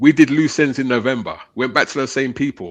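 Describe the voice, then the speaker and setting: Against a quiet background, a man with a British accent talks at a fairly quick pace in a medium pitch. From England. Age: 50s. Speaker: radio station owner. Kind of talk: casual chat.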